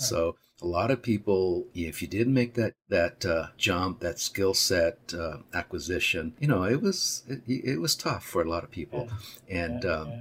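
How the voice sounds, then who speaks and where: With an American accent, a man speaks in a very deep, low voice that is somewhat breathy. He keeps a moderate pace and lively intonation. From Arizona, US Southwest (Tucson). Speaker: creative director. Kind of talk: interview. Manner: halting, frequent fillers and repetitions.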